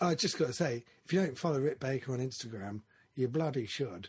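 The speaker sounds somewhat breathy and moves at a fairly quick pace against a quiet background. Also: man. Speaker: podcast host. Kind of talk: casual chat. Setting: studio, remote video interview with guests.

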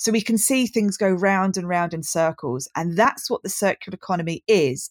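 The sound is dry and close, with no echo. A woman with a southern English accent speaks at a moderate pace in a fairly low pitch with ordinary pitch variation. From southern England, Brighton. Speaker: design lecturer. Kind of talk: casual interview.

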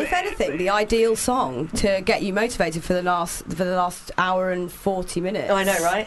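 A woman at a medium pitch with ordinary pitch variation, over noticeable background noise. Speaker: radio host. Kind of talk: casual chat. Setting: studio.

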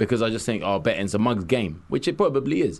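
A man with a London accent talks at a very fast pace with lively intonation. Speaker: radio co-host. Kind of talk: casual radio chat. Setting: studio.

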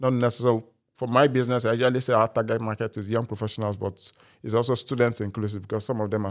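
A man with a Nigerian accent is heard on a very clean recording with a silent background. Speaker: student startup founder. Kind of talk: interview.

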